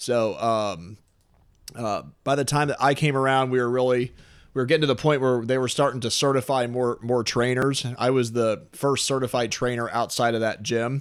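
An unremarkable speaking voice with an American accent moves at a moderate pace with fairly even intonation, on a very clean recording with a silent background. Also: man, medium pitch for a man. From St. Louis area, Missouri (Oakville, South County). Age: 30s. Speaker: personal trainer and gym owner. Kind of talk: casual interview.

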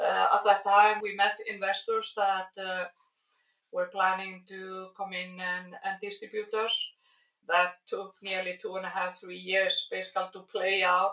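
A woman speaks fairly slowly at a medium pitch, her tone bright and sharp. Her intonation stays monotone and flat while her loudness swings widely. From Iceland. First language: Icelandic. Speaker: biologist and skincare founder. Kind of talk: interview. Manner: hesitant with fillers.

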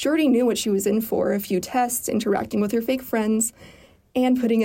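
The clip consists of plain reading aloud.

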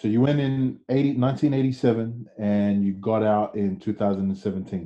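The man talks at a very slow pace. His medium-pitched voice has ordinary pitch variation. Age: 30s. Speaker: podcast host. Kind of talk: interview. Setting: video call.

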